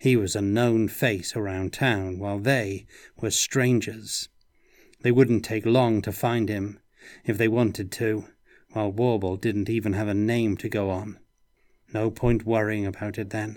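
A man speaks in a fairly low, flat monotone at a fairly slow pace. The recording is very clean, with a silent background. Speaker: narrator reading aloud. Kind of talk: audiobook narration of noir fantasy, read aloud. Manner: moody, dry noir-style delivery with character voices.

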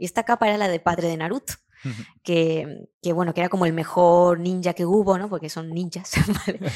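A woman speaks with medium pitch at a fairly quick pace. The sound is dry and close with no echo, in a very clean recording with a silent background. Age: 30s. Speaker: graphic designer and illustrator. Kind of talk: interview. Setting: studio.

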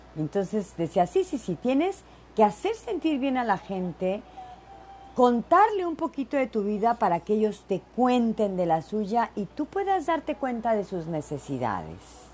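A woman in an animated tone, fairly high pitch with very wide pitch swings, a fairly slow pace and noticeable background noise. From Mexico, Veracruz. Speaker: podcast host. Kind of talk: casual monologue. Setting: home office.

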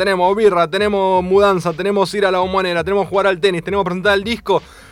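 A man's animated, high-pitched voice with an Argentine accent, racing along at a very fast pace. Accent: Rioplatense Argentine Spanish. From Argentina, Mar del Plata. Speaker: radio host. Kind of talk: radio interview.

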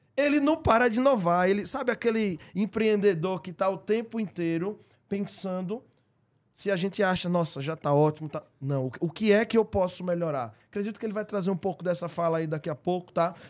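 A man's high pitch and lively intonation on a very clean recording with a silent background. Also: fairly quick pace. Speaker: podcast host. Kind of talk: live podcast conversation. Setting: live-streamed studio.

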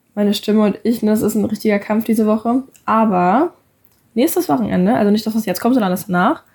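A somewhat breathy woman with a fairly high pitch talks at a very fast pace, her pitch varying in an ordinary way. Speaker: podcast co-host. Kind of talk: casual chat.

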